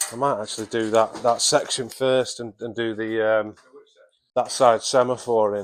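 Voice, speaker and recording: A man with a northern English accent, medium in pitch, monotone and flat, at a moderate pace. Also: big swings in loudness. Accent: northern English, drops H. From northern England. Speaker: auto electrician. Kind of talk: casual chat while working.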